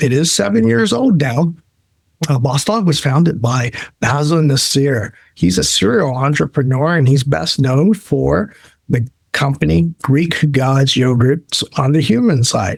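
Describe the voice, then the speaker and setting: A man with a fairly high, somewhat breathy voice talks fairly slowly with lively intonation and very even loudness. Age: 60s. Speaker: pet food sales executive. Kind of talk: podcast interview.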